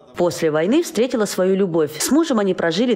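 Speech comes at a very fast pace, with noticeable background noise. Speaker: TV news reporter. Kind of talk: TV news report narration.

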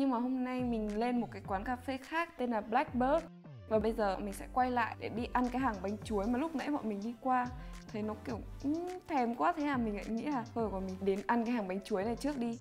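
Clear music sits behind a woman who talks fairly quickly. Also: ordinary pitch variation. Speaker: vlogger. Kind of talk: casual vlog chat. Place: motorbike. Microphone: phone near.

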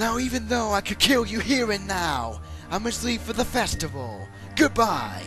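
A man talks at a moderate pace while clear music plays in the background. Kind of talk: comic villain overacting. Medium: fan dub. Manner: sneering, mocking, theatrical.

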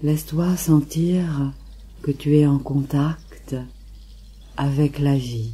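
Very slowly and with long, frequent pauses, a woman speaks in a very deep, low pitch, her dark, mellow tone somewhat breathy and soothing. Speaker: meditation guide. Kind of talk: guided meditation. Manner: slow, soothing.

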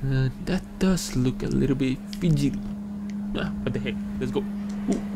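Loud background noise surrounds him as he talks at a moderate pace. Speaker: gaming YouTuber. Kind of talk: let's play commentary. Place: home room.

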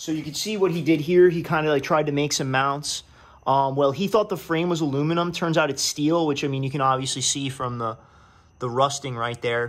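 Ordinary pitch variation runs through a fairly quick delivery. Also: man. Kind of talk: tutorial. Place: garage. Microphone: phone near.

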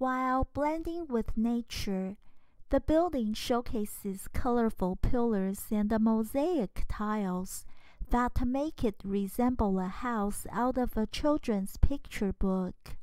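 Her voice fairly high and slightly mellow in tone, a woman speaks at a slow pace. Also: ordinary pitch variation.

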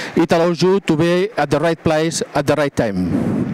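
Fairly even in intonation, a man talks at a moderate pace. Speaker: presenter. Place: stage.

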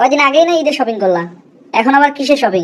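In a cartoonish character voice, a female-sounding speaker talks fairly quickly at a high pitch. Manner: dry, teasing.

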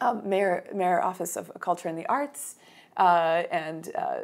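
A woman is speaking. She keeps a fairly slow pace. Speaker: mezzo-soprano and arts entrepreneur. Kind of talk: interview answer. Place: home room. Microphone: lapel.

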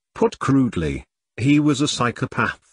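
With dry, close sound and no echo, an unremarkable speaking voice moves at a fairly slow pace. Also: man. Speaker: author reading his own book. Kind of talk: audiobook reading of a comedic sci-fi novel. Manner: steady storyteller pace, shifting tone for characters' dialogue.

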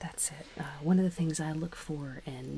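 Soft-spoken and playful in tone, a woman talks at a very deep, low pitch over light background noise. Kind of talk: ASMR movie review, casual conversation. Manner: soft-spoken, playful. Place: home room.

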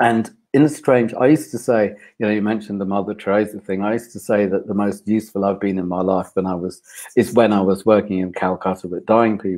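A man speaks at a very fast pace with a fairly low pitch and a dark, mellow tone. His intonation is fairly even, and the background is quiet. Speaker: men's personal development consultant. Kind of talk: interview. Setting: video call. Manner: calm. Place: home room. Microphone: video call.

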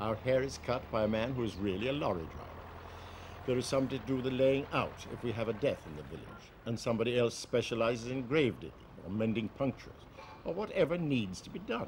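Against noticeable background noise, a man with a West Cork accent talks at a very fast pace. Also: medium pitch for a man, ordinary pitch variation. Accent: West Cork Irish. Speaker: journalist. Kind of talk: documentary narration.

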